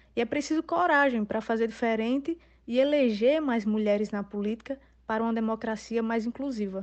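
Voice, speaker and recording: A woman's fairly high voice with ordinary pitch variation, a plain, everyday voice. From São Rafael, Rio Grande do Norte, Brazil. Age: 20s. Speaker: social worker, political candidate. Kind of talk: prepared statement. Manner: formal.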